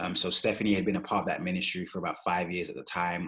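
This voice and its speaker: Here a man speaks with a very deep, low pitch. His intonation stays fairly even. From London, England, Jamaican parents. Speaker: pastor. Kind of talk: interview conversation.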